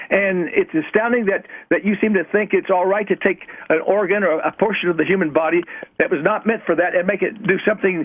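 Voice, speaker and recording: A man's high voice hurries along at a fairly quick clip, with noticeable background noise behind it. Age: 80s+. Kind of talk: heated debate. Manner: hesitant, with frequent stammered repeats.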